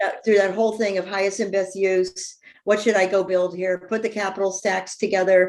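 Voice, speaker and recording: This woman has an unremarkable speaking voice, medium in pitch and moving at a fairly quick pace. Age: 60s. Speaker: real estate developer and entrepreneur. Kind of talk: podcast interview.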